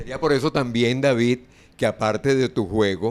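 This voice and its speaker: This man speaks at a medium pitch with ordinary pitch variation. It is an ordinary speaking voice. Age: 60s. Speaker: sports radio host. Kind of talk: interview.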